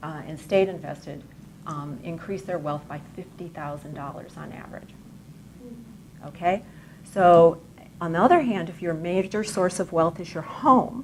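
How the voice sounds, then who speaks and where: Quiet, fairly low female voice at a moderate pace, with ordinary pitch variation, big swings in loudness, and long, frequent pauses. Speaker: economic commentator. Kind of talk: lecture. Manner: too quiet for audience. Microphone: too quiet.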